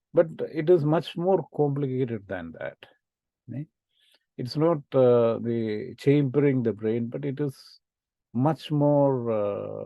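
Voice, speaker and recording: Speaking very slowly with long, frequent pauses, a man with a Keralan accent has a medium pitch and ordinary pitch variation. His loudness swings widely. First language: Malayalam. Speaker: lecturer. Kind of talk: lecture. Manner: halting, many fillers.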